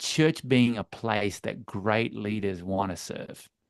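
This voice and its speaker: Against a quiet background, a man with an Australian accent speaks fairly slowly at a fairly low pitch with ordinary pitch variation. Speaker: church leadership coach. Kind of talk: webinar interview.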